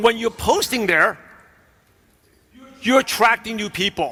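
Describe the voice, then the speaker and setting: A man's high, raised, projected voice with an American accent and ordinary pitch variation. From New York (Brooklyn). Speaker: business coach. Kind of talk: keynote speech.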